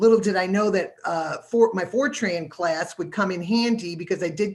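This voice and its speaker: Someone with a plain, everyday voice speaks at a fairly quick pace with ordinary pitch variation. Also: woman. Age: 60s. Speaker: university microbiology staff and panelist. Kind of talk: career panel talk. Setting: live-streamed virtual panel.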